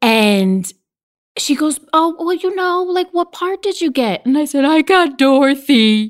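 A woman's high voice swings very widely in pitch as she talks at a fairly slow pace. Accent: American. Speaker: actor and voiceover artist. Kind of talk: casual chat. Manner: animated.

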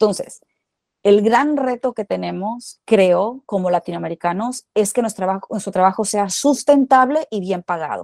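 Recorded dry and close with no echo, a woman with an ordinary speaking voice talks at a medium pitch and moderate pace. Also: ordinary pitch variation. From Mexico, Culiacán, Sinaloa. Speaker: actress and screenwriter. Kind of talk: interview, casual chat.

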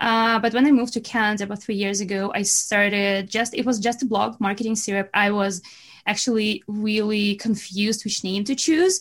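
A woman speaks at a fairly quick pace with a Russian accent, her pitch fairly high and her voice somewhat breathy. Her intonation stays fairly even, and the recording is very clean with a silent background. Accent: Russian-sounding. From Belarus. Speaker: marketing business owner. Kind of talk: podcast interview.

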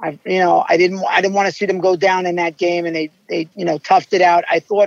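A man with an American accent, high-pitched, at a moderate pace. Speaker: baseball fan. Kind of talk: casual chat. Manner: animated.

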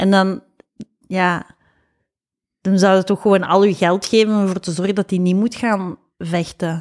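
A woman talks with a medium pitch and a monotone, flat intonation. Her speech has long, frequent pauses. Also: moderate pace. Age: 40s. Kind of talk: casual chat.

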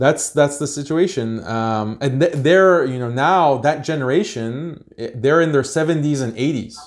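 A man with an American accent speaks in a plain, everyday voice at a fairly high pitch and moderate pace, with ordinary pitch variation and hardly any pauses. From United States. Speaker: Islamic activist and institute founder. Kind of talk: podcast interview.

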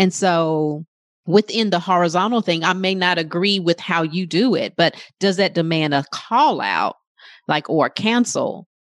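With a plain, everyday voice and a fairly low pitch, a woman speaks at a moderate pace with ordinary pitch variation, her sound dry and close with no echo against a quiet background. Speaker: life coach. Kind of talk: casual group discussion.

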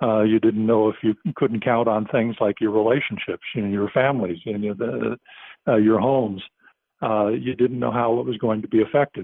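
A man with an American accent talks at a fairly low pitch. His pace is moderate and his intonation fairly even. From United States. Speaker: sports journalist. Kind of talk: interview. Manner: hesitant, many filler uhs.

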